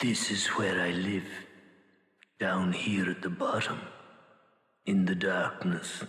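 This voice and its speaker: A man's put-on character voice, very deep and low, raspy, with long, frequent pauses and a slight echo. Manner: brooding, quiet.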